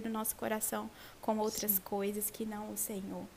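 A woman's voice, dark and mellow in tone, moves at a moderate pace. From Brazil, Vitória, Espírito Santo. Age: 20s. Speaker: Bible teacher in women's ministry. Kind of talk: Bible study conversation.

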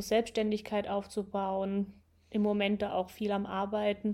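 At a fairly slow pace, a woman speaks at a medium pitch with a dark, mellow tone. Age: 20s. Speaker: podcast host, nurse. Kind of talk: casual chat.

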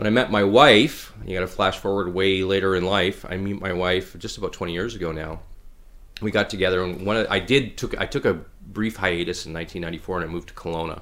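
Very deep and low in pitch, a man with a Canadian prairie accent talks at a very fast pace with ordinary pitch variation. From Saskatchewan, Canada (Regina). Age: 40s. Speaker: businessman and hunter. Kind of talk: casual interview.

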